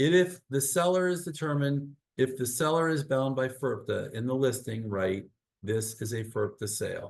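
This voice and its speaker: Medium pitch and ordinary pitch variation from a man with an unremarkable speaking voice, moving at a moderate pace. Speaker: real estate attorney. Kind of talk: webinar presentation.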